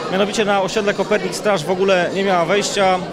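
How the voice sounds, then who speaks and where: A man talks at a fairly quick pace with noticeable noise in the background. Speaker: city councillor. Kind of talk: interview. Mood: calm, friendly. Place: hall. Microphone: handheld.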